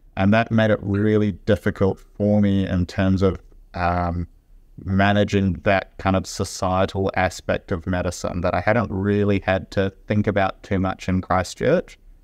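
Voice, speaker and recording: A man with a New Zealand accent speaks at a fairly slow pace in a fairly low voice. His intonation is monotone and flat, and his loudness stays very even. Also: quiet background. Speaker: junior doctor. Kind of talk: interview. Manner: deliberately slowed speech.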